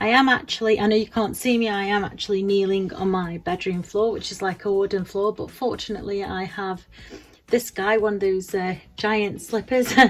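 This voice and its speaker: Speaking with an English accent, a woman uses a medium pitch, fairly even intonation and a moderate pace. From England. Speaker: beauty vlogger. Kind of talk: casual tutorial vlog. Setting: home bedroom. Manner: halting, many fillers and repeats.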